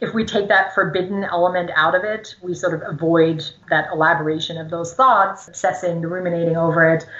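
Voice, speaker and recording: With noticeable background noise, a woman talks fairly quickly at a fairly low pitch, with hardly any pauses and fairly even intonation. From Germany. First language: German. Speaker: psychology professor. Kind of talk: interview.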